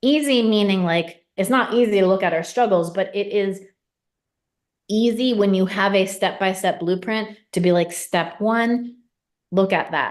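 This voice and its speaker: A normal speaking voice from a woman at medium pitch, fairly slow pace and ordinary pitch variation, with very even loudness over a quiet background. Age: 40s. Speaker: mindset coach. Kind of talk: sales pitch.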